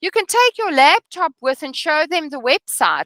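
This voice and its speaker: In a raised, projected voice, a woman speaks with a bright, sharp tone and very wide pitch swings, recorded with a dry, close sound and no echo. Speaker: real estate trainer. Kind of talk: training session. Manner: slow.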